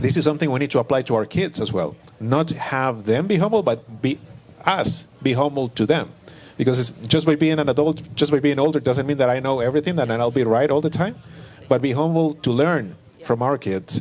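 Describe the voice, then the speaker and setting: With a non-native accent, a man talks at a fairly quick pace and a fairly high pitch, his pitch varying in an ordinary way. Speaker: panelist. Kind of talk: panel discussion. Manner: halting.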